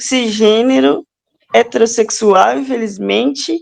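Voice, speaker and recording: Her pitch is fairly high for a woman. It moves in very wide swings. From Minas Gerais, Brazil. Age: 30s. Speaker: podcast co-host, teacher. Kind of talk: casual chat.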